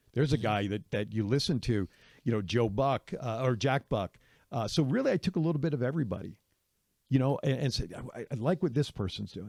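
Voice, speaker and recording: A man with an unremarkable speaking voice talks at a medium pitch and fairly quick pace with lively intonation. The recording is very clean with a silent background, and the sound is dry and close with no echo. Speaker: radio and sports broadcaster, podcast host, wrestling commentator. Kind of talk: casual podcast interview answer about broadcasting influences.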